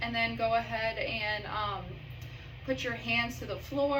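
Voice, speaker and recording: The pace is fairly slow, with very wide pitch swings. Noticeable background noise runs underneath. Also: woman. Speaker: physician assistant performing an exam. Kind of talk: clinical exam instructions to a patient. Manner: calm, instructional, with filler words.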